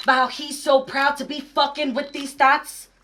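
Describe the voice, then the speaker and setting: A woman with a high-pitched voice speaks in a raised, projected way. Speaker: slam poet. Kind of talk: slam poetry performance.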